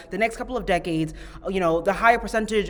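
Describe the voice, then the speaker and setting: Over clearly audible background noise, a woman's pitch moves in an ordinary way. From Ghana. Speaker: podcast host. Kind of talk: podcast interview.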